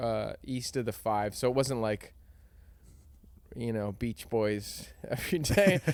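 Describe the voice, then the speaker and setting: A man with a Southern California accent talks at a fairly slow pace in a medium pitch, with ordinary pitch variation and long, frequent pauses. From Southern California, Encinitas in San Diego. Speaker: songwriter and musician. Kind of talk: casual chat.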